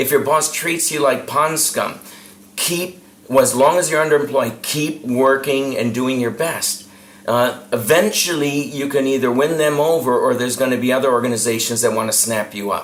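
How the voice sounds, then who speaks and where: This man's pitch is fairly high, with ordinary variation, and he speaks at a moderate pace. Room echo and background noise are both noticeable. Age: 60s. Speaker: professional speaker and sales trainer. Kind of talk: interview.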